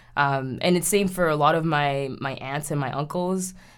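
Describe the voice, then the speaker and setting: Here a woman speaks with a very deep, low pitch. Her intonation is fairly even at a moderate pace. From Haiti. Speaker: podcast co-host. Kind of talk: personal storytelling. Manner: casual with filler words.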